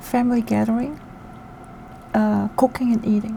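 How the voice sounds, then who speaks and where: A woman's fairly high-pitched voice in a calm tone, with noticeable background noise. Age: 40s. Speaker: solo travel vlogger. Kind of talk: casual talk to camera. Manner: soft-spoken, calm.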